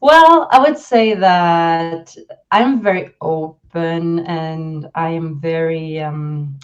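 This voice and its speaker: Her pitch fairly low with ordinary variation, a woman speaks with a Swedish accent at a very slow pace. Her loudness swings widely. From Sweden. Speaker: leadership and communication coach. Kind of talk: interview.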